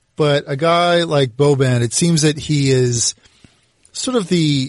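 A man speaks with a somewhat breathy voice and ordinary pitch variation. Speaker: podcast host. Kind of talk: podcast host intro and interview. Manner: polished, professional, conversational.

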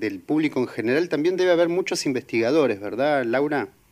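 In a Rioplatense accent, a man speaks with lively intonation on a very clean recording with a silent background. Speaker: radio co-host. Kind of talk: radio show hosting.

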